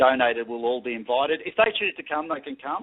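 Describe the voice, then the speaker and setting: Flat and monotone, a man talks at a medium pitch. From Australia. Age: 40s. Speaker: paranormal equipment maker. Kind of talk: radio interview.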